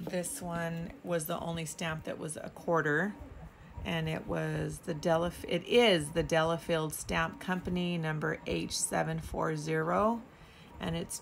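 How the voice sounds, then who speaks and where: At a fairly slow pace, a woman with a fairly low pitch and a somewhat breathy voice speaks over light background noise. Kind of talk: casual haul show-and-tell. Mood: cheerful, delighted. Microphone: phone near.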